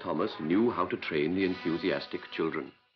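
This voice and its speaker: A man talks at a moderate pace with clear music in the background. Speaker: documentary narrator. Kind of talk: documentary narration. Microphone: old recording.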